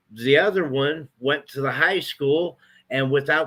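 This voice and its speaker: A man speaks at a fairly slow pace in a fairly high pitch with ordinary pitch variation. His tone is bright and sharp. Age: 60s. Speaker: local resident. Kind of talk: casual chat.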